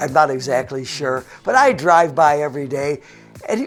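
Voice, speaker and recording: On a very clean recording with a silent background, a man speaks at a moderate pace with a western New York accent and very wide pitch swings. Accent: western New York American. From Buffalo, New York, US. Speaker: fitness coordinator and TV fitness guest. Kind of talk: TV and radio interview; anecdotal storytelling.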